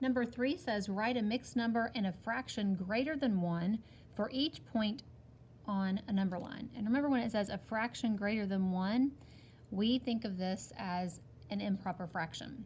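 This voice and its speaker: The woman's voice is somewhat breathy. Her pitch moves in an ordinary way. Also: fairly high pitch for a woman. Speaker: teacher. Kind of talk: tutorial. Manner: slow.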